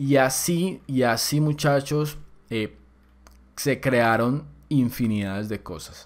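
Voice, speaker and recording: In a very clean recording with a silent background, a man speaks very slowly at a medium pitch, with ordinary pitch variation and long, frequent pauses. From Colombia. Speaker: programming course instructor. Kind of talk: tutorial. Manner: casual.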